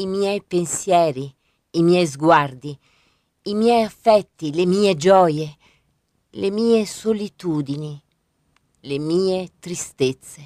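In a dry, close sound with no echo, a woman with a fairly low pitch and a dark, mellow tone speaks at a very slow pace with ordinary pitch variation and long, frequent pauses. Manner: slow, hushed and dreamy, with soft lyrical cadence and pauses between images.

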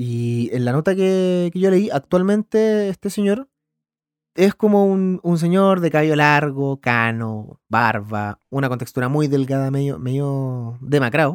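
A man with a Chilean accent speaks at a fairly slow pace and fairly high pitch with lively intonation, the sound dry and close with no echo. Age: 30s. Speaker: podcast host, filmmaker. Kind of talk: casual solo podcast monologue. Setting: home recording. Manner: animated.

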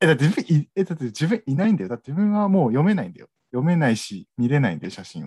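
A man's dark, mellow, somewhat breathy voice, fairly high, very fast, with very wide pitch swings and big swings in loudness, dry and close with no echo. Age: 20s. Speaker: podcast co-host. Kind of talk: casual chat.

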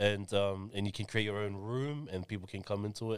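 A man with an Auckland accent, fairly low pitch and fairly even intonation, on a very clean recording with a silent background. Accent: New Zealand (South Auckland). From New Zealand, South Auckland (Mangere). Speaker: education business founder. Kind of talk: casual chat.

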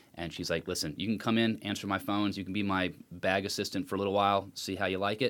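A man with an American accent talks at a very fast pace with hardly any pauses, in a fairly low pitch and fairly even intonation. The recording is very clean, with a silent background. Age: 30s. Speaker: podcast guest. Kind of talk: casual chat. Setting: home studio.

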